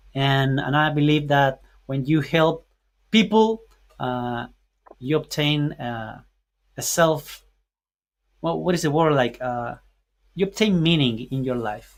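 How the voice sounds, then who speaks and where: A man with a Spanish accent and fairly high pitch, at a very slow pace with long, frequent pauses. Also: ordinary pitch variation. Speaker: podcaster and entrepreneur mentor. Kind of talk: podcast interview. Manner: halting, searching for words.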